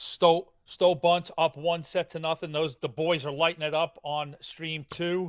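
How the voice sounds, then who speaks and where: The voice moves at a fairly slow pace with hardly any pauses and fairly even intonation. The sound is dry and close with no echo, a very clean recording over a silent background. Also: man, fairly high pitch for a man. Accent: New York. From Queens, New York. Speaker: darts commentator. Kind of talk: live commentary.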